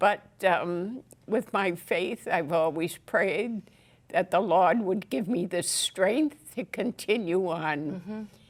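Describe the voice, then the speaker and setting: At a very slow pace, a woman talks at a medium pitch with ordinary pitch variation. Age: 80s+. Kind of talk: interview answer.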